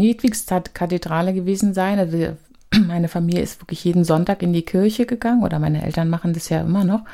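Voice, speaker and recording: A woman's dark, mellow, fairly low voice in a strong Berlin accent, fairly quick, in a very clean recording with a silent background. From East Berlin, Hohenschönhausen. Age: 50s. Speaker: social worker and activist. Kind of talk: interview.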